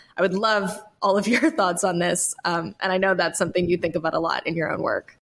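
Using a plain, everyday voice, a woman with an American accent talks at a fairly quick pace, with a medium pitch and fairly even intonation. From North Carolina (Appalachian foothills). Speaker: podcast host, folklorist. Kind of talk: casual interview conversation; scripted narration.

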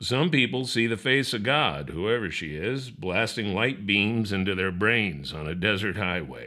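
A man's fairly low, bright and sharp voice with lively intonation at a fairly slow pace. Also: very clean recording, silent background. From New Orleans. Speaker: magazine editor and radio show host. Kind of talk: interview conversation; reading aloud.

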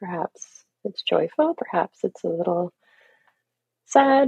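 A woman with a Canadian accent, very wide pitch swings and a very slow pace, in a dry, close sound with no echo. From Canada, Toronto. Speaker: grief coach. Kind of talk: guided meditation; casual interview.

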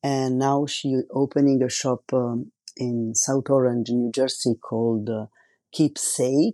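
A man speaks with an Italian accent in a dark, mellow tone at a fairly slow pace. His intonation stays fairly even, and the sound is dry and close with no echo. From Italy. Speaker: tattoo artist and podcast host. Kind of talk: solo podcast monologue. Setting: home recording without professional microphone.

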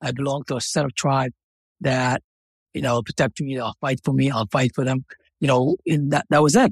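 A man speaks in a somewhat breathy voice with fairly even intonation. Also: medium pitch for a man, moderate pace, dry, close sound with no echo. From Somalia. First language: Somali. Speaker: author. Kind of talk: interview. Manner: halting, repeats words.

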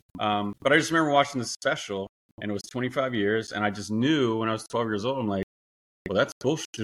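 With an unremarkable speaking voice and an American accent, a man talks fairly quickly at a medium pitch with ordinary pitch variation, in a dry, close sound with no echo. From USA. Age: 40s. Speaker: wrongfully fired worker who won a lawsuit. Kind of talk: interview conversation.

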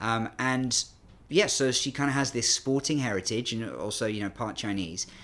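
Fairly slow speech from a man with a British accent, medium in pitch, on a very clean recording with a silent background. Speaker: China sports analyst. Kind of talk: interview chat. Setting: studio.

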